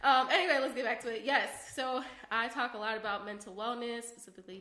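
A woman's fairly high voice at a fairly quick pace, fairly even in intonation, with audible room echo and noticeable background noise. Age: 20s. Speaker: dancer and psychology grad student. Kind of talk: casual chat.

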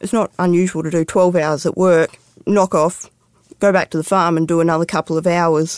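Recorded very cleanly against a silent background with a dry, close sound and no echo, a woman with an Australian accent and fairly low pitch speaks at a moderate pace in a monotone, flat intonation. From Western Australia, Perth. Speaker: farmer and mine worker. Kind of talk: interview storytelling.

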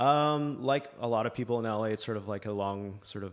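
In a very clean recording with a silent background, a man speaks with a normal speaking voice. His pitch is fairly low, his intonation fairly even and his pace fairly quick. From Canada (Libya expat childhood, then Alberta). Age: 40s. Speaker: filmmaker, former investment banker. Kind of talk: casual interview. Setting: in person, host's home office.

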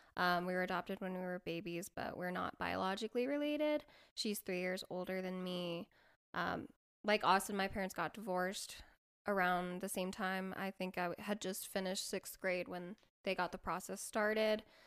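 A woman's normal speaking voice with an American accent, medium pitch, ordinary pitch variation and a moderate pace. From Colorado. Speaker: podcast co-host. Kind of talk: casual chat.

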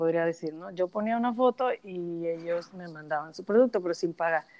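At a moderate pace, a woman speaks with ordinary pitch variation in a dry, close sound with no echo. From Mexico. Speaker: social media influencer. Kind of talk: interview.

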